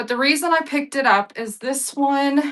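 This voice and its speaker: A woman with an American accent has a normal speaking voice. She talks at a moderate pace with lively intonation. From Texas (Sweetwater/Abilene area). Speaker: live-stream auction seller. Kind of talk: live selling stream. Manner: casual, chatty.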